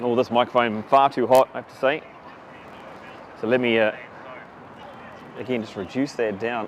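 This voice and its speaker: A man speaks at a moderate pace in a medium pitch, with fairly even intonation, long and frequent pauses, and noticeable background noise. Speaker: rugby commentator. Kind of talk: live commentary. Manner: loud, carrying voice.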